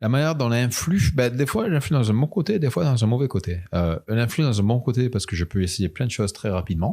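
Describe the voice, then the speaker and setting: A man with a dark, mellow tone talks at a fairly quick pace with lively intonation, on a very clean recording with a silent background. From France. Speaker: illustrator and animator. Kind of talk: interview. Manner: halting, many hesitations.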